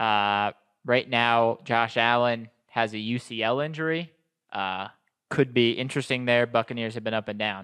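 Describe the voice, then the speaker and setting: Over a quiet background, a man with an American accent speaks at a moderate pace in a bright, sharp tone of medium pitch with fairly even intonation. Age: 20s. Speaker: sports podcast host. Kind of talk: casual chat.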